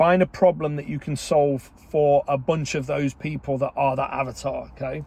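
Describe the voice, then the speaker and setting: A man with an English accent speaks in a fairly high pitch with a dark, mellow tone. His intonation is monotone and flat, at a moderate pace with hardly any pauses. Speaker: online business coach. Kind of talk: casual vlog talk. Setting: in a car. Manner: loud; chatty, informal.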